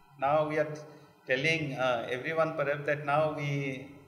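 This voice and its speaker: A man with an Odisha accent and fairly high pitch, with audible room echo and noticeable background noise. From India, Odisha (Kalahandi). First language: Odia. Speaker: literature scholar. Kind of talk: panel discussion. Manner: hesitant, many fillers.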